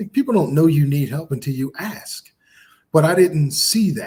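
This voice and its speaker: Somewhat breathy, a man talks at a moderate pace. His intonation is lively. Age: 50s. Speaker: podcast co-host and author. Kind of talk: casual chat.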